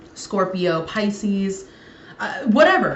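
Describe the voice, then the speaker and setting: Audible room echo surrounds a woman speaking at a very slow pace in a medium pitch. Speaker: tarot reader. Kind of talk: tarot reading to camera. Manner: halting, many fillers.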